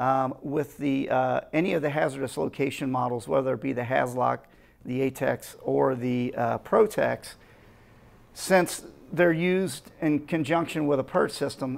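With ordinary pitch variation, a man talks fairly slowly. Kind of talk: product explanation.

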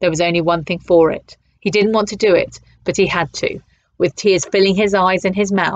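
A natural reading voice with fairly even intonation against a quiet background

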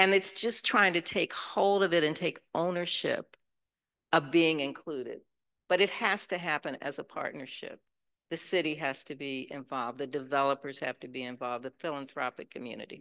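A woman's very deep, low voice with a bright, sharp tone, moderate pace, ordinary pitch variation and big swings in loudness over a quiet background. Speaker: panel moderator. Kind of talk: moderated panel discussion. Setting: stage with audience. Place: hall. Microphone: handheld.

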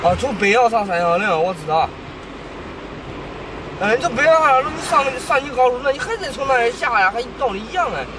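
With crowd noise behind him, a man projects a raised voice at an extremely high pitch, his pitch swinging very widely at a fairly quick pace broken by long, frequent pauses, the sound dry with no echo. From Luoyang, Henan, China. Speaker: driver or passenger. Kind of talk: casual conversation. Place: car. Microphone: camera far.

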